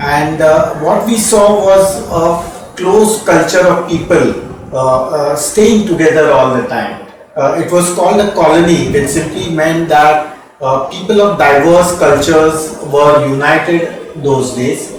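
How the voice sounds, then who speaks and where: A man with an Indian accent speaks at a fairly slow pace, high in pitch with ordinary pitch variation. Noticeable background noise and audible room echo fill the recording. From India, Mumbai. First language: Marathi. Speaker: radiologist, former dean. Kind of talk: interview. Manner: hesitant, many fillers.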